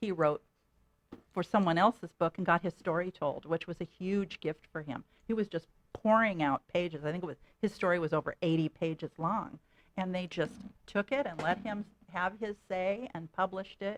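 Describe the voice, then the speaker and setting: A woman talks at a moderate pace and medium pitch in an ordinary speaking voice, with ordinary pitch variation and a dry, close sound with no echo. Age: 60s. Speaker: author and veterans advocate. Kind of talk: radio interview.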